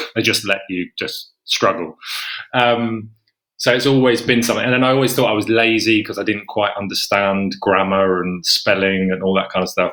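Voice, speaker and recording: A man with an English accent and a fairly low pitch, bright, sharp tone, ordinary pitch variation and moderate pace, on a very clean recording with a silent background. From England. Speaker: horror author. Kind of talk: podcast interview. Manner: halting, many fillers and restarts.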